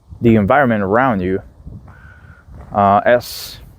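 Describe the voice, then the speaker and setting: Speaking with a non-native accent at a very slow pace, this voice shows ordinary pitch variation in a dry, close sound with no echo. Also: man. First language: not English. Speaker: philosophy video creator. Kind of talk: casual monologue. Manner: halting, with fillers and restarts.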